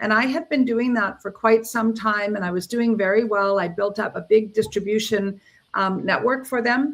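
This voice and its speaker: A woman with a Canadian accent speaks in a plain, everyday voice at a fairly high pitch. She keeps a moderate pace with ordinary pitch variation. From Canada, Ontario. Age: 60s. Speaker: entrepreneur. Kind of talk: interview. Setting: livestream.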